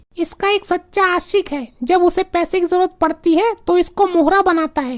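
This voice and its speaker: A woman uses a squeaky, cartoonish character voice at an extremely high pitch. She speaks at a moderate pace, with a dry, close sound and no echo. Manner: brash, scornful.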